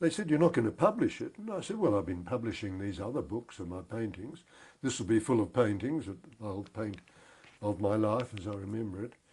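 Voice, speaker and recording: A man with a fairly low, somewhat breathy voice talks at a fairly quick pace with lively intonation. The recording is very clean with a silent background. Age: 80s+. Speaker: war veteran. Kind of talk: interview. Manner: halting.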